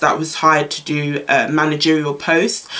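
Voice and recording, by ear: The tone is fairly bright and the pace moderate. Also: woman.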